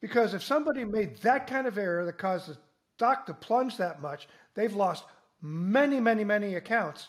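Lively intonation marks this man's high-pitched voice at a moderate pace. The recording is very clean, with a silent background. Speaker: organization chairman.

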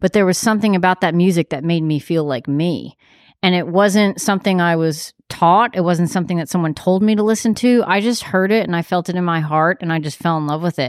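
A woman with an ordinary speaking voice and an American accent speaks at a fairly quick pace and a fairly low pitch, with ordinary pitch variation and hardly any pauses, on a very clean recording with a silent background. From New York. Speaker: visual artist and art teacher. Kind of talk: casual chat. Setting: in person.

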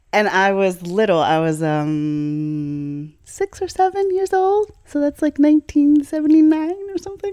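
At a fairly slow pace, a woman speaks with a dry, close sound and no echo. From Chicago, US Midwest. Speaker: blues singer and vocal healer. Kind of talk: casual interview. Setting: at her home. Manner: animated.

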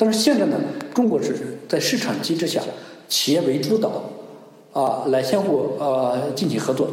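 The man speaks at a moderate pace with very wide pitch swings. Audible room echo and noticeable background noise surround him. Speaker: research professor on Sino-Russian economics. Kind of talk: interview answers. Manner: hesitant with many fillers.

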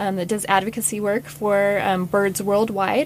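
The speaker has an American accent and talks at a moderate pace. Noticeable background noise runs under the voice. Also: woman. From US Mountain West (Utah, Wyoming, Idaho). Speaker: public land manager. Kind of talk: interview. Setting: studio.

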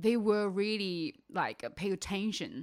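A woman with a Chinese accent in a very clean recording with a silent background. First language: Mandarin Chinese. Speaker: vegan content creator. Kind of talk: casual interview. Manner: animated; halting.

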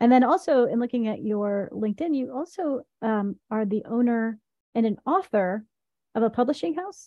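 A woman with an American accent has an unremarkable speaking voice, fairly high in pitch, moving at a moderate pace with lively intonation. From US South, Tennessee. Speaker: podcast host, company co-founder. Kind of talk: scripted intro; interview.

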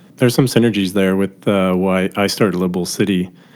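Very deep and low in pitch, a man with an American accent talks with fairly even intonation. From US Midwest, Milwaukee. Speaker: podcast host. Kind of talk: casual interview; scripted intro.

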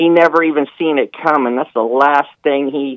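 It is an unremarkable speaking voice: a man at a moderate pace and medium pitch, with fairly even intonation. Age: 50s. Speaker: caller, car industry worker. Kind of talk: call-in talk show. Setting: phone call.

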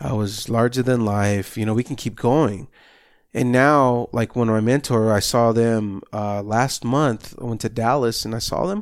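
In a very clean recording with a silent background, a man with an unremarkable speaking voice talks at a fairly slow pace, medium in pitch with ordinary pitch variation. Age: 30s. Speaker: results coach, health and wellness trainer. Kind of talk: casual interview chat.

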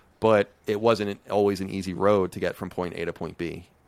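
This man has an ordinary speaking voice, pitched fairly low, and he speaks at a moderate pace with fairly even intonation. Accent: American. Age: 30s. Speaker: podcaster and game journalist. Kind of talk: casual interview chat. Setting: video call.

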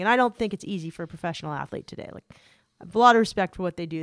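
A woman with an American accent and medium pitch, in a very clean recording with a silent background and a dry, close sound with no echo. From US West Coast, San Diego area. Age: 40s. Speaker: journalist and podcast host. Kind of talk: casual chat.

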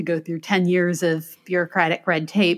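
An unremarkable speaking voice with an American accent moves at a moderate pace on a very clean recording with a silent background. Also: woman. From US Midwest, Michigan. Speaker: attorney and author. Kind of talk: interview.

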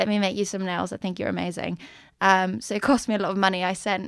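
A woman rattles along at a very fast pace with vocal fry. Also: very clean recording, silent background. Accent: Swedish. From Sweden, Stockholm. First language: Swedish. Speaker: drag show organizer and performer. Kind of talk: casual interview.

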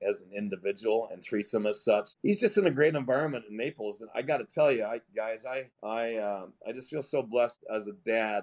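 A man's plain, everyday voice at a medium pitch and a moderate pace. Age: 50s. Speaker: masters CrossFit athlete. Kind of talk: casual interview.

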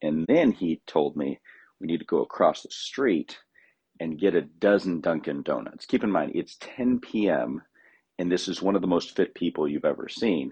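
The sound is dry and close, with no echo. A man talks at a moderate speed. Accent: American. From California. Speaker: recurring contributor. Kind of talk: storytelling segment.

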